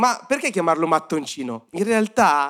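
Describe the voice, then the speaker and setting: At a moderate pace, a man talks with lively intonation on a very clean recording with a silent background. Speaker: youth-group preacher. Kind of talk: sermon. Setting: church service with audience.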